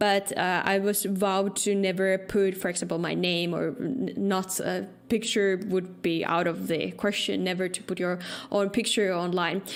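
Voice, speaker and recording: Heard with audible room echo, a woman with a Finnish accent speaks at a medium pitch and a moderate pace, her intonation fairly even. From Finland. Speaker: security researcher and podcaster. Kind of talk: conference talk.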